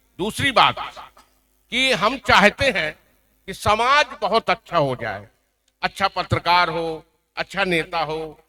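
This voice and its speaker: High-pitched for a man, his voice is raised and projected with a bright, sharp tone. He leaves long, frequent pauses, and the sound is dry and close with no echo. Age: 70s. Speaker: veteran journalist. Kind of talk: award ceremony speech.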